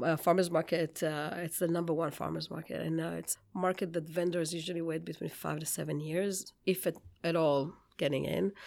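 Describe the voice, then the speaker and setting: A woman with an Israeli accent speaks at a moderate pace in a fairly low pitch, her intonation fairly even, on a very clean recording with a silent background. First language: Hebrew. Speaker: bakery founder. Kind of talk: interview. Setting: studio.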